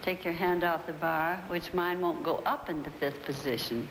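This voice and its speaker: Amid audible room echo, a woman talks at a fairly slow pace, her fairly low pitch showing ordinary pitch variation. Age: 70s. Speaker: choreographer. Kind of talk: casual talk during barre exercises.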